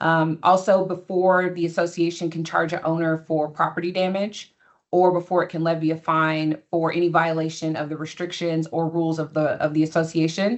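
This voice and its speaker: A woman speaks with monotone, flat intonation and hardly any pauses. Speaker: attorney. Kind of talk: webinar presentation. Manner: fast.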